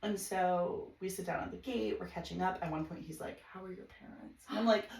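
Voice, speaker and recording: At a fairly quick pace, a woman with an American accent speaks in an animated tone at a medium pitch, with ordinary pitch variation, vocal fry and big swings in loudness. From US Midwest, Chicago suburbs. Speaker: podcast guest. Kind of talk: casual chat. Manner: fast.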